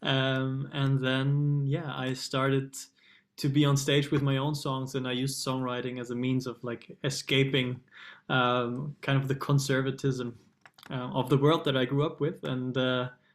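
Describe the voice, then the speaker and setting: With a German accent, a man speaks at a fairly slow pace in a medium pitch and a monotone, flat intonation. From Germany. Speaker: singer-songwriter. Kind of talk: interview. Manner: hesitant, many fillers.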